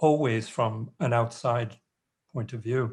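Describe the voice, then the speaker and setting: A man speaks at a moderate pace in a medium pitch, his voice somewhat breathy. The background is quiet. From New York. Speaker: anthropologist and author. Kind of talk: panel discussion. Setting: video call. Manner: halting.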